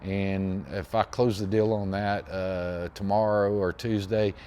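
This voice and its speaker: A man speaks with an American accent. His voice sits at a fairly low pitch, with fairly even intonation. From Texas, Pasadena near Houston. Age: 60s. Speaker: machinist and machine restorer. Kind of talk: casual chat. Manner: halting, with many fillers and repeats.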